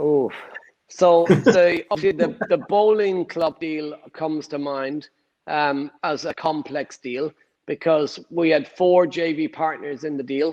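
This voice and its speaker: Against a quiet background, a man with an Irish accent speaks very slowly at a fairly high pitch, with ordinary pitch variation and a dry, close sound with no echo. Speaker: property investor. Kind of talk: interview answer.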